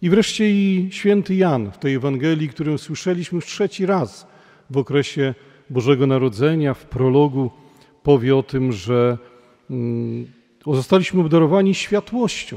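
The voice has a dark, mellow tone, set against a quiet background. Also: man, moderate pace. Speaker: parish priest. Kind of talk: sermon. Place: church.

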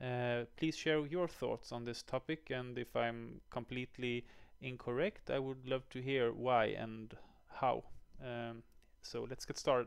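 A man speaks at a fairly slow pace with fairly even intonation. The background is quiet. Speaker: educator. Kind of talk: tutorial. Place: home room. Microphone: headset.

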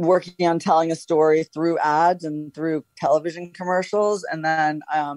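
A woman's very deep, low voice with a dark, mellow tone and an American accent, at a moderate pace in a dry, close sound with no echo. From New York. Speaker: author and storyteller. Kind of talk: interview answer.

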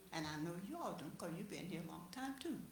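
Audible room echo around a woman's speech, her pitch swinging very widely. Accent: Southern US. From US South, Chipley, Florida. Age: 80s+. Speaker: resident speaking at public meeting. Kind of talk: public comment at city meeting.

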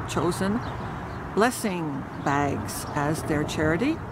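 There is noticeable background noise in this recording. The sound itself is dry, with no echo. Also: woman. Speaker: community vlogger. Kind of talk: casual vlog chat. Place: garden. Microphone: phone near.

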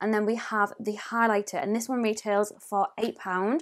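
A woman talks with a North East England accent. Her pace is moderate. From northeast England. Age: 20s. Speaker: beauty YouTuber. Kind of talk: tutorial. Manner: animated; chatty. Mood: friendly, apologetic at times. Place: home room.

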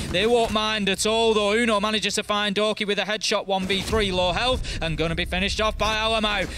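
Over music in the background, a man with a high pitch speaks in a raised, projected voice with an animated tone and hardly any pauses. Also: fairly quick pace. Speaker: esports commentator. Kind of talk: live esports commentary, play-by-play. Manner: animated, fast-paced, excitable play-by-play.

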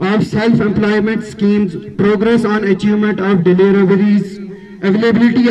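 With light background noise behind him, a high-voiced man talks at a moderate pace in a monotone, flat delivery. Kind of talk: formal speech. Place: street. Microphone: podium.

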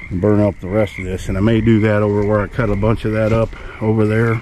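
The recording is dry with no echo, though background noise is noticeable. A man with a fairly low pitch talks at a fairly quick pace. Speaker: homesteader vlogger. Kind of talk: casual vlog chat. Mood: relaxed, content. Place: open country. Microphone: phone near.

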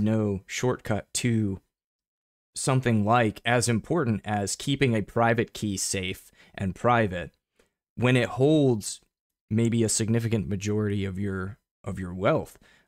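An unremarkable speaking voice from a man, medium in pitch, at a fairly slow pace with ordinary pitch variation, in a dry, close sound with no echo. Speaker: bitcoin commentator, show host. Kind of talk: solo live-stream commentary. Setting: live stream. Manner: many fillers and repetitions.

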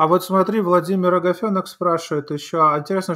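A man's high voice at a fairly quick pace. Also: quiet background. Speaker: live talk show host. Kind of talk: live political talk show. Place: home room. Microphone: studio mic.

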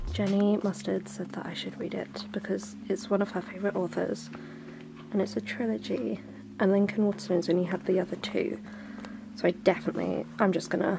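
With music playing in the background, a woman speaks at a fairly quick pace. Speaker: book vlogger. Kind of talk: casual vlog chat. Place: shop. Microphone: phone near.

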